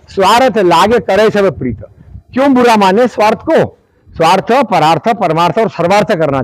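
Speaking at a fairly slow pace, a man swings his pitch very widely, with a dry sound with no echo and a quiet background. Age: 70s. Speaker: retired civil servant and activist. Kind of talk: speech at a public event. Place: open country. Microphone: lapel.

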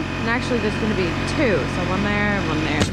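A woman speaks with clear music in the background. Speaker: home builder vlogger. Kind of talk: casual vlog chat. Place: open country. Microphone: phone near.

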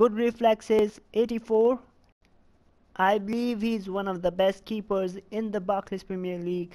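A man's dark, mellow, high-pitched voice, fairly slow and monotone in its flat intonation. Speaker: gaming YouTuber. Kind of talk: FIFA gameplay commentary, play-by-play. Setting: voiceover recorded over gameplay.

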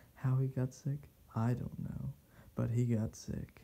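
A soft-spoken man talks at a very slow pace in a calm tone. His voice is somewhat breathy, with light background noise. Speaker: reader. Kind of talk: soft ASMR bedtime story reading. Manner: soft, calm, sleepy. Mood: calm bedtime, slightly wry. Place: home room.

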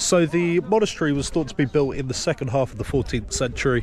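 A man's voice comes through in a dry sound with no echo. There is crowd noise in the background. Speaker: travel vlogger. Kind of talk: casual vlog chat. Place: waterside. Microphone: phone near.

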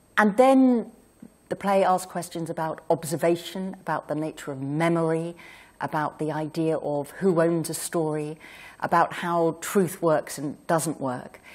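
Over a silent background in a very clean recording, a woman with a normal speaking voice speaks at a fairly slow pace, her pitch fairly low with ordinary variation. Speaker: novelist interviewing on stage. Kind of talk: onstage interview. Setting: stage with audience.

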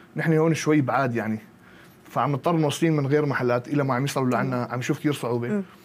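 Over light background noise, the speaker talks at a very fast pace with ordinary pitch variation. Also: man, fairly high pitch for a man. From Syria, Qamishli; Syria. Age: 20s. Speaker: bodybuilding coach and athlete; bodybuilding coach. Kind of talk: interview. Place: studio. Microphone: lapel.

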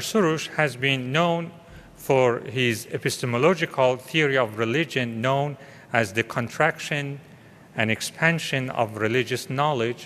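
His pitch shifts in an ordinary way as a man speaks at a moderate pace. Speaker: panel chair. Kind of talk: formal introduction. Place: hall. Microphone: podium.

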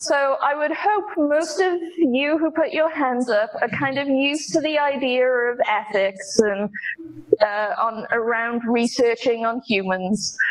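The woman's pitch is high. She talks at a fairly slow pace. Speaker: conference speaker. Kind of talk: lecture. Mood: light, humorous. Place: hall.

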